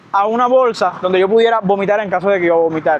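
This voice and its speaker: Very fast speech over noticeable background noise. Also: man. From Cuba. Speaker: medical worker vlogger. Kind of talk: casual storytelling vlog. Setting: outdoors by a lagoon. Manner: animated.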